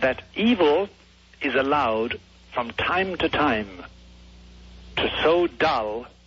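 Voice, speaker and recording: Over music in the background, a man with a medium pitch speaks at a very slow pace with lively intonation. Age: 70s. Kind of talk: radio interview.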